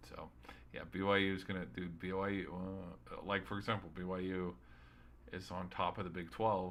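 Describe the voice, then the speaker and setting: At a moderate pace broken by long, frequent pauses, a man speaks with a very deep, low pitch and fairly even intonation. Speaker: sports streamer. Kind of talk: solo sports recap podcast. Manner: halting, stuttering; casual, rambling.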